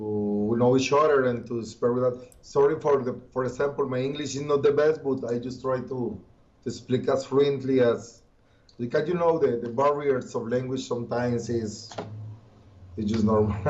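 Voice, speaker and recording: A man with a Colombian accent at medium pitch, fairly even intonation and a moderate pace, with audible room echo. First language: Spanish. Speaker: occultist and musician. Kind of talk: interview. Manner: halting.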